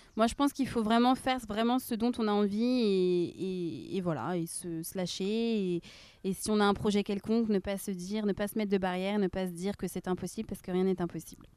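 A woman talks at a fairly quick pace with a dark, mellow tone. Her pitch is medium, with ordinary variation. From Rennes, France. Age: 20s. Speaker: nursing assistant. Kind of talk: casual interview. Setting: outdoors in a park. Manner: halting.

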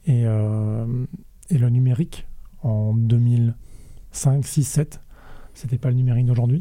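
A somewhat breathy voice with a dark, mellow tone speaks at a very slow pace, keeping its loudness very even and its intonation fairly even, broken by long, frequent pauses. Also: man, medium pitch for a man. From France, Rennes. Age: 30s. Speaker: food innovation network manager. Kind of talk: casual interview.

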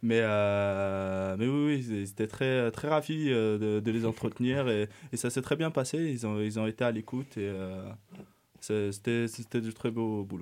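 A man speaks at a medium pitch and a fairly slow pace, with ordinary pitch variation. The recording is very clean, with a silent background. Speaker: urban planning student. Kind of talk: radio interview. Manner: halting.

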